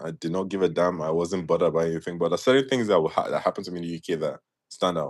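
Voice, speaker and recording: He speaks with a British accent at a very fast pace. The man's pitch is very deep and low, and his intonation is lively. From Nigeria. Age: 30s. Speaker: podcast guest. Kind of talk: casual interview chat.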